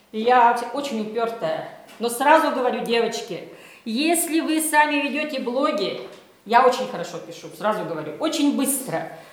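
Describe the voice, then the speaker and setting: Amid noticeable background noise and audible room echo, a woman talks in an animated tone with a high pitch and very wide pitch swings. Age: 50s. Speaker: journalist and blogger. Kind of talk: workshop lecture.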